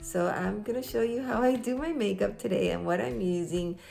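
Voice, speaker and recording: The woman's delivery is moderately paced. An audible echo from the room surrounds it. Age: 60s. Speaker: crafts and beauty YouTuber. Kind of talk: casual tutorial. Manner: casual, hesitant.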